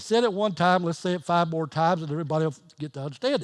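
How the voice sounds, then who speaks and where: A man with a fairly high pitch talks at a very fast pace with ordinary pitch variation. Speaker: pastor. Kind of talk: sermon. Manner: loud; halting.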